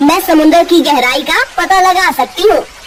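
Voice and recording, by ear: A woman's cartoonish character voice at an extremely high pitch, with clear background noise. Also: fairly quick pace.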